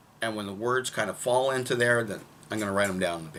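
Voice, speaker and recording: Over noticeable background noise, a man talks in a medium pitch. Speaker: songwriter. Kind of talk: casual talk to camera.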